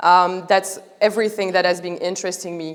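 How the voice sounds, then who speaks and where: In a strong French accent, a woman talks at a moderate pace with medium pitch and fairly even intonation. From France. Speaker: art startup founder. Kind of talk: public talk. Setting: museum stage with audience. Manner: halting, with many fillers.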